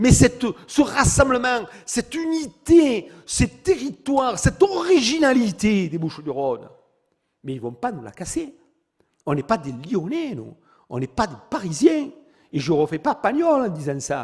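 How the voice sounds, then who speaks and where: With a Provençal accent, a man speaks at a fairly slow pace in a high pitch, his tone animated and his pitch swinging very widely. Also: big swings in loudness. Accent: southern French (Provençal). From Provence, southern France. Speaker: mayor and politician. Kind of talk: political speech at public meeting. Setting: public meeting hall with audience. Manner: animated, rhetorical.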